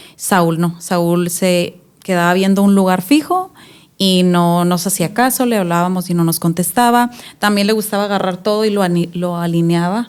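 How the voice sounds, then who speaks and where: An ordinary speaking voice comes at a moderate pace, with fairly even intonation and very even loudness. The recording is very clean, with a silent background. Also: woman, medium pitch for a woman. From Mexico, Tijuana. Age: 30s. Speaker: mother sharing testimony. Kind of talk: interview testimony. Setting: studio.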